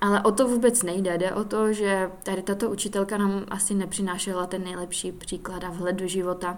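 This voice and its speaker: Her intonation is monotone and flat. A woman at medium pitch speaks at a fairly quick pace. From Czech Republic, Silesia (Hlučín, between Opava and Ostrava). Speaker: podcast host. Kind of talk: personal monologue.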